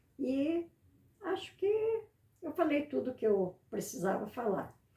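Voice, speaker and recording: A woman speaks very slowly at a high pitch with very wide pitch swings. Noticeable background noise is present. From Paraná, Brazil. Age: 80s+. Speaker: retired schoolteacher. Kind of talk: interview.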